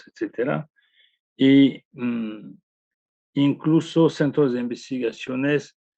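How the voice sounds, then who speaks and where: The speaker is a man who talks very slowly. His pitch varies in an ordinary way. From France. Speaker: anthropologist. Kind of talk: interview answer.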